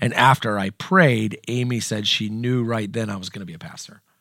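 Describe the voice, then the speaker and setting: Bright and sharp in tone, a man's fairly low-pitched voice holds fairly even intonation. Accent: American. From US Midwest (Southern Indiana). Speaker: pastor. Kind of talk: personal testimony in interview.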